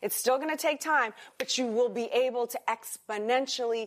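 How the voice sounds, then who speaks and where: Speaking at a moderate pace with an American accent, a woman uses a high pitch and ordinary pitch variation. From US South, New Orleans, Louisiana. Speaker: businesswoman and former actress. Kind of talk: interview. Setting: in-person interview in Singapore.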